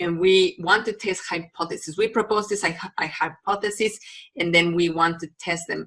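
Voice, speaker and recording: A woman speaks with a Mexican accent at a medium pitch. Her pace is moderate and her intonation fairly even. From Mexico. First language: Spanish. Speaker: university biology lecturer. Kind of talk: recorded lecture. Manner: hesitant, many fillers.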